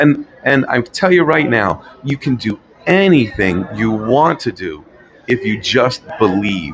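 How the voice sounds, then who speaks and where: Noticeable background noise surrounds this recording. A man talks at medium pitch with lively intonation. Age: 60s. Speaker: motivational guest sharing life story. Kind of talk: casual interview. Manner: hesitant, repeats words.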